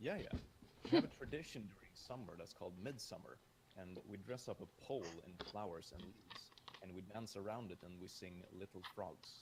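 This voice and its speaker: Over noticeable background noise, a man with a fairly low pitch speaks fairly quickly with ordinary pitch variation. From Sweden. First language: Swedish. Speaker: YouTuber guest. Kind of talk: casual chat.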